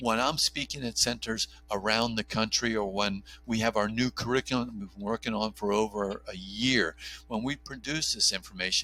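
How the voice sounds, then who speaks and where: Medium in pitch and bright, sharp in tone, a man speaks at a moderate pace with vocal fry. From New Jersey. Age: 50s. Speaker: OB/GYN doctor and pro-life advocate. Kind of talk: podcast interview.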